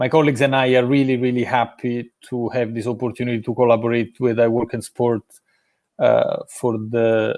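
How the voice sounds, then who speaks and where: This man speaks in an Italian accent at a moderate pace. His medium-pitched voice is monotone and flat. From Italy, Rome. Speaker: sports education business development director. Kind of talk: live interview. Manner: hesitant, many fillers.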